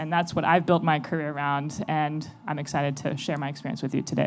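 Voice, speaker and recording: A woman with an American accent talks very fast in a very deep, low voice, her pitch varying in an ordinary way. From United States. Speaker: venture capital investor, panelist. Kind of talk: panel discussion.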